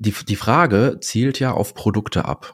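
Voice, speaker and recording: A man's fairly low voice with lively intonation. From Dortmund, Germany. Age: 40s. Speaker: insurance and finance broker. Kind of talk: casual interview.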